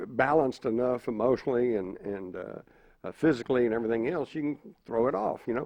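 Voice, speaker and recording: Speaking at a fairly quick pace, a man with an American accent has a plain, everyday voice, medium pitch and lively intonation. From Texas. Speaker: panelist. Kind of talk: panel discussion.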